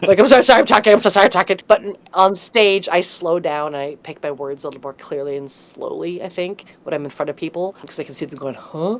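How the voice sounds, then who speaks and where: Very fast, lively speech with hardly any pauses, big swings in loudness and noticeable background noise. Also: woman. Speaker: improviser and comedic host. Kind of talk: interview. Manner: slurred, high energy.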